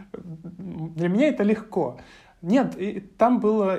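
A woman speaks with lively intonation in a dark, mellow tone. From Russia, Krasnodar Krai (Novorossiysk). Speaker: university student. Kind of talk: interview.

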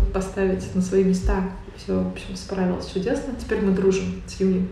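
A woman at a medium pitch and a fairly quick pace, with noticeable background noise. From Tatarstan, Russia; Naberezhnye Chelny. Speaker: book author. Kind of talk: casual interview chat. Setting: library.

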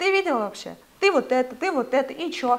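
Noticeable background noise sits behind a woman's voice. She speaks at a high pitch with very wide pitch swings. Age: 20s. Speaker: clothing brand co-founder. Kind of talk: casual interview. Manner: animated.

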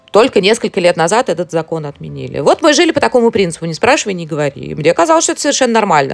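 Noticeable background noise sits under the voice of a woman. She speaks very fast with hardly any pauses. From Moscow, Russia. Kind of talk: interview.

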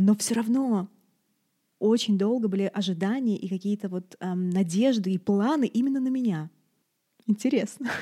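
At a moderate pace and medium pitch, a woman with a dark, mellow, somewhat breathy tone speaks with ordinary pitch variation and long, frequent pauses. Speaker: doula and podcast host. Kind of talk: casual chat. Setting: video call.

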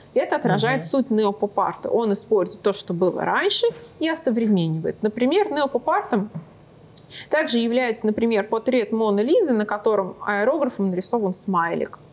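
A woman speaks at a moderate pace in a fairly high pitch, with lively intonation and very even loudness. Noticeable background noise is present. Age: 20s. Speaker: artist and art teacher. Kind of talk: casual interview.

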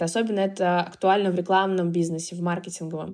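A woman's normal speaking voice, medium in pitch, at a fairly quick pace. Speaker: marketing agency founder. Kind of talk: interview.

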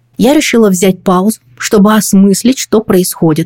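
Somewhat breathy, a woman speaks at a fairly slow pace, and the sound is dry and close with no echo. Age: 40s. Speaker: podcast host. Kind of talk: scripted narration.

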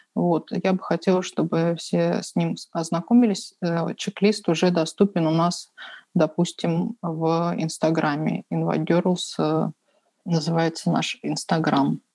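Very slow and dark, mellow in tone, a woman's fairly low voice carries fairly even intonation in a dry, close sound with no echo. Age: 30s. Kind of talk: interview.

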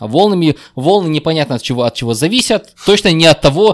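A man's fairly high, fairly quick voice with lively intonation, dry and close with no echo, on a very clean recording with a silent background. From Kyrgyzstan. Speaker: IT guest. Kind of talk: casual chat. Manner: halting, repeats words.

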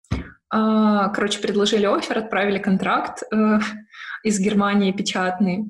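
A woman at medium pitch, with audible room echo. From Ukraine, Odesa. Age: 20s. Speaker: UX/UI designer. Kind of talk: online interview.

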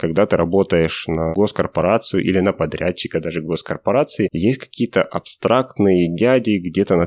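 A man with a very deep, low voice speaks at a fairly quick pace with ordinary pitch variation. The sound is dry and close with no echo, on a very clean recording with a silent background. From Russia. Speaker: software developer. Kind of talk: interview.

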